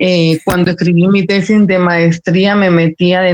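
In a dry, close recording with no echo, a woman speaks at a moderate pace in a fairly low, monotone voice with flat intonation. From El Salvador. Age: 40s. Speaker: writer and journalist. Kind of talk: casual interview.

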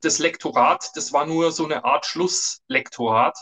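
This man's voice is bright and sharp, pitched fairly high. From Germany, Upper Palatinate (Bavaria). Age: 50s. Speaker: business journalist and author. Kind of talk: interview.

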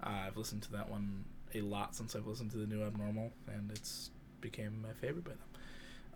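A man talks in a fairly low pitch, somewhat breathy. Audible room echo can be heard. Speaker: podcast co-host. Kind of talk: casual chat.

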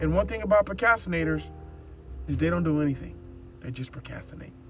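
A man talks at a fairly quick pace in an animated tone. Music plays in the background. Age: 40s. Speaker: motivational podcast host. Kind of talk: solo motivational podcast monologue.

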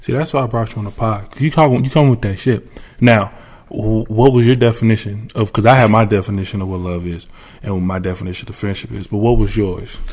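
A plain, everyday voice from a man, fairly low in pitch, with ordinary pitch variation and a fairly quick pace. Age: 20s. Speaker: podcast host. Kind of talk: casual chat.

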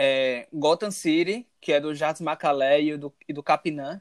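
Heard in a dry, close sound with no echo, a man speaks at a fairly high pitch with an ordinary speaking voice and ordinary pitch variation. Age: 20s. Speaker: podcast co-host. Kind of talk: casual chat.

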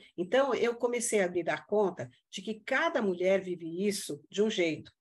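At a fairly slow pace, a woman speaks with lively intonation and a fairly high pitch. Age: 60s. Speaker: integrative therapist. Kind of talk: casual interview chat. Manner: halting, many fillers and repetitions.

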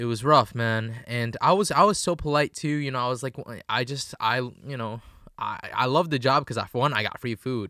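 A man talks at a medium pitch and a moderate pace, with ordinary pitch variation and a bright, sharp tone. The recording is very clean, with a silent background. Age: 20s. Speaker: podcast co-host. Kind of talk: casual chat.

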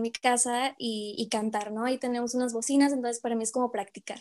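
A woman talks at a very fast pace in a high pitch, her intonation monotone and flat. The background is quiet. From Mexico, Monterrey. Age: 20s. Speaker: medical student and youth evangelizer. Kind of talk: interview.

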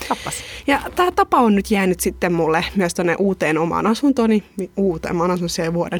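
This woman uses a normal speaking voice at a medium pitch. Her pitch varies in an ordinary way, and her pace is moderate. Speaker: podcast host. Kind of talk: casual chat. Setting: studio.

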